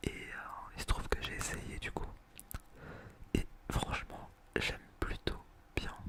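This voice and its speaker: Whispering in a relaxed tone, a man speaks at a fairly slow pace over noticeable background noise. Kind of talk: ASMR whispered chat to camera. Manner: soft, relaxed.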